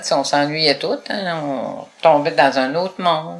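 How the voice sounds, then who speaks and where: Very slowly and with ordinary pitch variation, a woman speaks at a very deep, low pitch amid noticeable background noise. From Quebec, Gaspésie. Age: 70s. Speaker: retired advocate for blind people. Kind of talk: interview.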